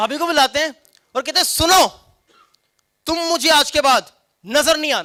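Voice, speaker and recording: Raised and projected, the man's voice reaches an extremely high pitch. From Punjab, Pakistan. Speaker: stand-up comedian. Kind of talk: stand-up comedy performance.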